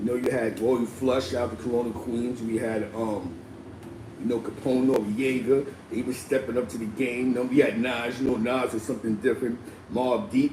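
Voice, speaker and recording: A man with a New York accent talks at a medium pitch with fairly even intonation. Noticeable background noise and audible room echo surround his voice. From New York City (Spanish Harlem), Puerto Rican. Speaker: live stream host. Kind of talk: casual live stream talk. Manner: fast; stammering repetitions.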